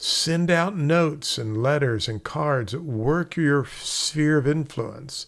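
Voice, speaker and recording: With noticeable background noise behind him, a man speaks very slowly with hardly any pauses, a fairly high pitch and ordinary pitch variation. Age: 60s. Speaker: real estate instructor. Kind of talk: casual talk to camera. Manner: conversational.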